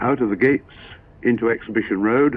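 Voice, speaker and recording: A man with a Gloucestershire accent talks at a medium pitch with ordinary pitch variation. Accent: posh Gloucestershire, rhotic. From Gloucestershire, England. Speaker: driving instructor, advanced motoring examiner. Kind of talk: 1960s sponsored film driving commentary.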